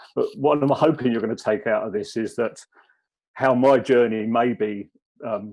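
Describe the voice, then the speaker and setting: This man talks with a southern English accent. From southern England (Kent). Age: 60s. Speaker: former police officer, wellbeing consultant. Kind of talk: personal talk at webinar. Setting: video call webinar. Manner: hesitant.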